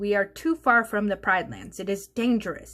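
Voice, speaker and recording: In a put-on character voice, a woman speaks at medium pitch and a moderate pace on a very clean recording with a silent background. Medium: read story.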